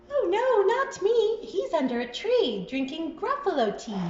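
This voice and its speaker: A squeaky, put-on character voice at an extremely high pitch swings very widely in pitch at a moderate pace, with slight echo and light background noise. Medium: read story.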